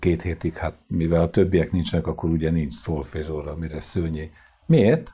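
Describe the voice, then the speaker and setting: Dark, mellow, somewhat breathy tone at a moderate pace. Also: man. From Hungary, Sarkad (Békés county); Hungary. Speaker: choir conductor; guest. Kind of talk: interview; interview answer. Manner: halting. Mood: calm storytelling, anecdotal. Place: studio. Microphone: lapel.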